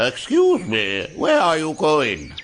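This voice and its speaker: This is a put-on character voice. A man performs it at a fairly high pitch. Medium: read story.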